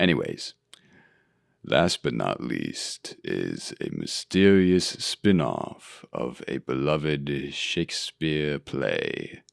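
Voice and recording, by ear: A man speaks very slowly, his pitch extremely low with big swings and vocal fry. The recording is very clean with a silent background and a dry, close sound with no echo.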